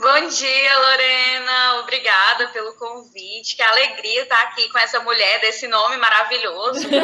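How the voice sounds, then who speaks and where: The speaker has a Cearense accent and talks at a moderate pace with fairly even intonation and hardly any pauses. Noticeable background noise runs underneath. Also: woman, high pitch for a woman. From Brazil, Ceará (sertão). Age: 30s. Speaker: teacher. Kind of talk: interview.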